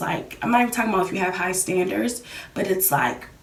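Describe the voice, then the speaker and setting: A woman is heard with audible room echo. Background noise is also noticeable. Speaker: YouTuber. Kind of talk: casual talk to camera. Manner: fast; hesitant with fillers.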